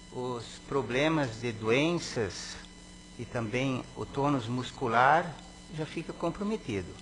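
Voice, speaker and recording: Very slow speech from a man with lively intonation. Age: 60s. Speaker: city councillor. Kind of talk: reading aloud; ceremonial speech. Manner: hesitant.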